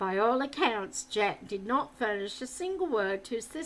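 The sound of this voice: Lively intonation carried by an unforced reading voice.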